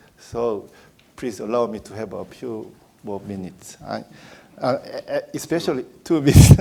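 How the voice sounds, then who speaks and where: A man's voice comes through with noticeable background noise. His loudness swings widely. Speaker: panelist at security conference. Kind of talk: panel presentation. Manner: slow, halting.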